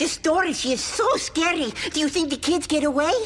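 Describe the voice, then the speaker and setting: A cartoonish character voice, high-pitched and at a fairly quick pace, over clear background noise. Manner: odd grammar, foreign-like phrasing.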